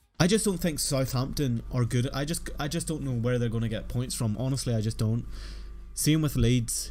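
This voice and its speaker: Speaking at a moderate pace, a man has a dark, mellow tone, a medium pitch and ordinary pitch variation. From Northern Ireland. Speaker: football fantasy streamer. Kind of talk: live stream chat. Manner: casual, conversational.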